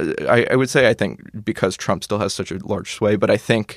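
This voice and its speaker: In an American accent, a man talks at a fairly quick pace and a fairly low pitch, with a plain, everyday voice. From Arizona, Maricopa County. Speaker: college student. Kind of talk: casual political discussion.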